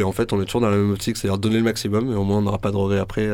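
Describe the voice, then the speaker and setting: A man rattles along at a very fast speed, his voice pitched fairly low. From Marseille. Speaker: musician. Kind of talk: radio interview.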